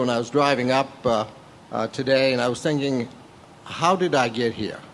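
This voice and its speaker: A man's voice sits at a medium pitch amid noticeable background noise. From rural Maine. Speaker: state legislator. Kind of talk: panel talk. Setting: stage with audience.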